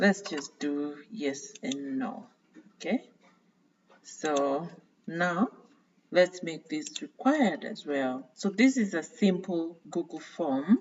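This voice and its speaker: A woman with a non-native accent speaks very slowly, with long, frequent pauses. Her fairly low voice swings very widely in pitch and greatly in loudness. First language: not English. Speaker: tutorial creator. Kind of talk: screen-share tutorial. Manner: hesitant, frequent fillers.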